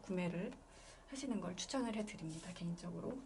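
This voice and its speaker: Lively in intonation, a woman's voice comes across somewhat breathy. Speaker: illustrator teaching an art class. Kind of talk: online class tutorial.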